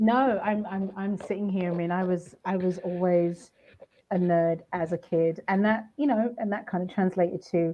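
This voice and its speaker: A woman with a British accent, medium pitch, fairly even intonation, and a moderate pace. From England, Luton near London. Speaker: audio journalist. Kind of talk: casual chat.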